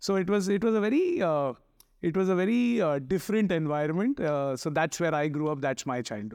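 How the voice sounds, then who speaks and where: Against a quiet background, a man talks with a high pitch. His pace is fairly quick and his intonation lively. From Mumbai, India (Chembur). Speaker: advertising creative executive. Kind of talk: casual chat.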